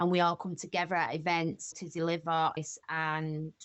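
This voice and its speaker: A woman with a strong Manchester accent at a moderate pace. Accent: broad Mancunian. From Manchester, England. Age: 40s. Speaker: recovery charity co-founder. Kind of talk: podcast interview. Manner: animated.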